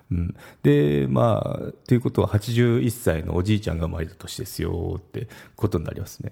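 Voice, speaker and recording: A man talks with a very deep, low voice and vocal fry in a dark, mellow tone. His intonation is lively, and his loudness swings widely. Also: moderate pace. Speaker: podcaster. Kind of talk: solo casual talk. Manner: halting, stumbles over words.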